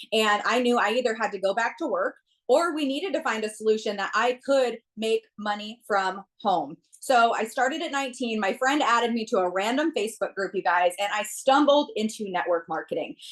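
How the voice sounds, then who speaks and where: In an animated tone, a woman talks at a fairly quick pace with lively intonation and a fairly high pitch. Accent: Minnesota. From US Midwest, central Minnesota. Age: 20s. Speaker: network marketer. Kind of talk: testimony. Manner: fast.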